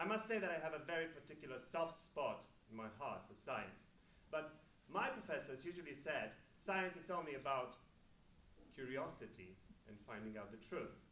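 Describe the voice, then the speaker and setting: Long, frequent pauses break up speech at a moderate pace, with very wide pitch swings and a bright, sharp tone. Audible room echo surrounds the voice. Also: man, fairly high pitch for a man. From Poland, Gdynia. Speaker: event host. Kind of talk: event speech. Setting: stage with audience.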